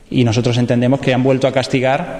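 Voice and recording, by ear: A man's voice has a slightly mellow tone and fairly even intonation.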